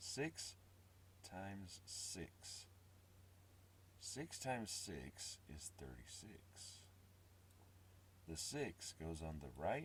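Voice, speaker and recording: A man with a very deep, low pitch and vocal fry speaks at a very slow pace. His intonation is lively, broken by long, frequent pauses. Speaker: teacher. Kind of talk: math lesson explanation.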